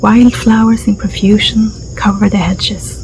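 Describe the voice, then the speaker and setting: A soft-spoken woman whispers at a fairly slow pace against noticeable background noise. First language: Swedish. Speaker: ASMR storyteller. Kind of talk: reading aloud; casual chat. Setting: garden. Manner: whispering.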